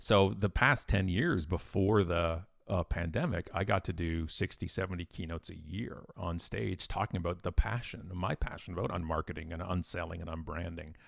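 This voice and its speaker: On a very clean recording with a silent background, a man with a Canadian accent talks at a moderate pace with hardly any pauses, a very deep, low pitch and ordinary pitch variation. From Ontario, Canada. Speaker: keynote speaker and author. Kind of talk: interview. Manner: loud; animated.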